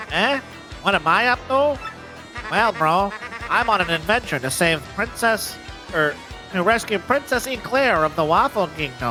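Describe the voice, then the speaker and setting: A man's put-on character voice, high-pitched and nasal, at a moderate pace with clear music in the background. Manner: nasal, mocking.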